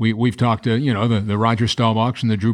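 Against a quiet background, a man with a medium pitch speaks very fast in a flat monotone. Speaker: sports show host. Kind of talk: broadcast interview.

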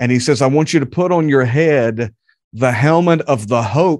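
At a moderate pace, the speaker talks in a Southern US accent over a quiet background. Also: man. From North Carolina (Charlotte area). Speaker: preacher. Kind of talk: sermon; interview.

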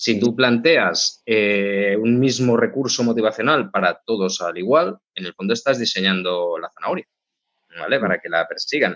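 A man's normal speaking voice, medium in pitch, keeps a moderate pace while his intonation stays lively. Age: 40s. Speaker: tech executive, CTO. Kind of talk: interview.

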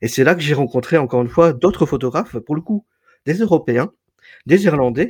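The voice is somewhat breathy, with long, frequent pauses. The recording is very clean, with a silent background. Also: man, fairly high pitch for a man, fairly quick pace. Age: 40s. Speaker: photographer and entrepreneur. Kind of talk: interview.

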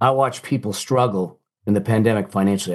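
A man talks with a medium pitch and lively intonation in an ordinary speaking voice. The background is quiet. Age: 60s. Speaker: author and financial coach. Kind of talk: interview conversation.

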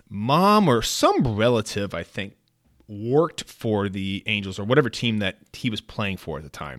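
A man with an American accent talks at a fairly slow pace. His bright, sharp tone moves through very wide pitch swings. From US West Coast, San Francisco Bay Area. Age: 40s. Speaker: podcast host and sports memorabilia dealer. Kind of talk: casual solo podcast monologue. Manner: conversational with frequent fillers and laughs.

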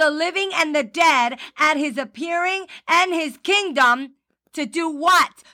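A woman's raised, projected voice, bright and sharp in tone, animated, with lively intonation. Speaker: preacher. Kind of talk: sermon, preacher in full flow. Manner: fervent, exhorting, animated.

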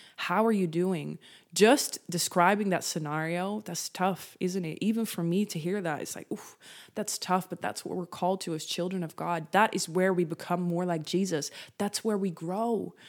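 A woman speaks at a medium pitch with a Dutch accent. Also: fairly even intonation, moderate pace, very clean recording, silent background. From Netherlands. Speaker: faith-based content creator and podcast host. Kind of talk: devotional talk, solo podcast.

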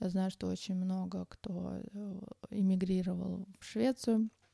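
A woman speaks at a very slow pace, somewhat breathy, in a dark, mellow tone at medium pitch. Her intonation is monotone and flat, and the sound is dry and close with no echo. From Uzbekistan, Tashkent. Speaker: podcaster. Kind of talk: personal monologue. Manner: hesitant, many filler sounds.

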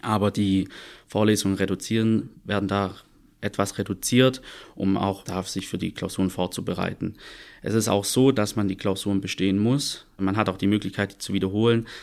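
On a very clean recording with a silent background, a man with an unremarkable speaking voice talks at a moderate pace, with a fairly low pitch and fairly even intonation. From Stuttgart, Swabia (southwest Germany). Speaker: audit and tax assistant, former dual student. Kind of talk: podcast interview.

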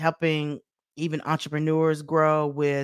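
A woman with a very deep, low voice speaks in an animated tone, recorded with a dry, close sound and no echo. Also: very clean recording, silent background. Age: 40s. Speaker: motivational speaker and business coach. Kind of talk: solo podcast monologue.

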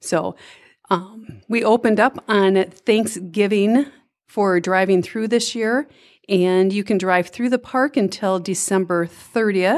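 A woman with a Minnesotan accent speaks at a fairly slow pace on a very clean recording with a silent background. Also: medium pitch for a woman, ordinary pitch variation. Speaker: volunteer event organizer. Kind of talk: interview.

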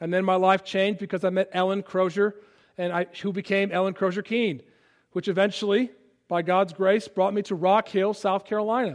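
Against a quiet background, a man with an American accent talks at a fairly quick pace. His pitch is high and his intonation fairly even. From US Midwest, Chicago suburbs. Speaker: pastor. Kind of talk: sermon. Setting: church. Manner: halting, many fillers.

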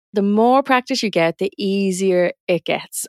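In a very clean recording with a silent background, a woman with a Dublin accent sounds dry and close, with no echo. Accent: north Dublin Irish. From Dublin, Ireland. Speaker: parent educator and business coach. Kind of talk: podcast monologue, business advice.

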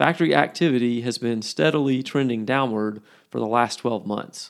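A man uses a normal speaking voice at a medium pitch and moderate pace with ordinary pitch variation, in a very clean recording with a silent background. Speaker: podcast host. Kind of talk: formal news reading. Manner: measured, steady newsreader pace; formal, crisp and businesslike.

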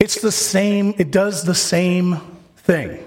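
A man speaks at a very slow pace. His voice sits high in pitch. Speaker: pastor. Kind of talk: sermon. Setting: church.

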